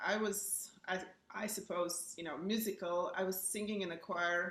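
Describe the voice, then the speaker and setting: Noticeable background noise sits behind a woman speaking. She has an Eastern European accent and a moderate pace. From Bulgaria, Burgas on the seacoast. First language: Bulgarian. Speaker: pianist. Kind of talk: casual chat.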